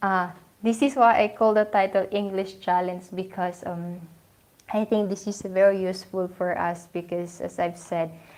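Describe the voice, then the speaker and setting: In a Filipino accent, the speaker keeps a moderate pace on a very clean recording with a silent background. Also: woman, medium pitch for a woman. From Philippines. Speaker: vlogger. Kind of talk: casual live stream talk. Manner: hesitant.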